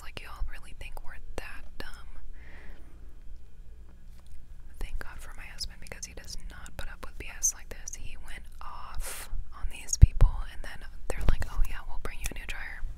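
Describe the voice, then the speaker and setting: Whispering at a moderate pace, a woman leaves long, frequent pauses, with noticeable background noise and a dry sound with no echo. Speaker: vlogger. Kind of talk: casual vlog chat. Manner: close-mic whispered ramble. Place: car. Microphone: lapel.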